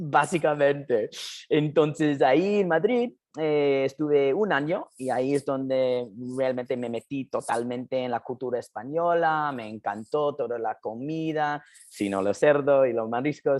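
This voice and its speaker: Against a quiet background, a man with a non-native accent speaks at a fairly slow pace and fairly high pitch, with ordinary pitch variation. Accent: foreign accent in Spanish. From US, New Jersey. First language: English (speaking Spanish). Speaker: documentary filmmaker. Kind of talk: interview. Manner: halting.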